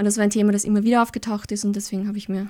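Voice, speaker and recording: This woman has a dark, mellow tone at medium pitch. Her intonation is monotone and flat. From Austria, Lower Austria (Kirchau). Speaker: social anthropologist. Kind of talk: interview. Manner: hesitant, frequent fillers.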